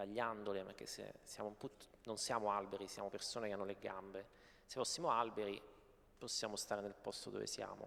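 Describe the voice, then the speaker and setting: A man speaks in a fairly low pitch. His pace is moderate and his intonation fairly even. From Apulia, southern Italy. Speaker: novelist. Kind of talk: panel discussion. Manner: halting, many repetitions.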